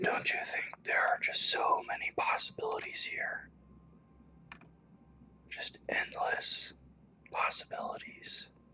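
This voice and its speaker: Whispering at a very slow pace with long, frequent pauses, the voice comes over noticeable background noise. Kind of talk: ASMR whisper reading. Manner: whispered, soft.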